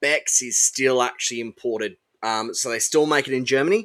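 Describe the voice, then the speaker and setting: On a very clean recording with a silent background, a man with an Australian accent speaks in a bright, sharp tone. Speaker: podcast co-host. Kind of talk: casual chat.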